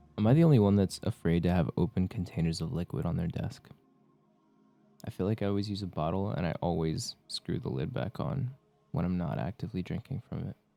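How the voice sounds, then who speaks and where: Over music in the background, a man with a very deep, low pitch talks at a fairly quick pace, in a relaxed tone with lively intonation. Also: dry, close sound with no echo. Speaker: Twitch streamer. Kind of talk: casual livestream chat with viewers. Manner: soft, relaxed.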